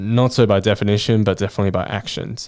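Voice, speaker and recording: This speaker has an Australian accent, heard on a very clean recording with a silent background. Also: man. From Australia, born in Chongqing, China. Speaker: podcast host. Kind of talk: casual monologue. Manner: laughs often.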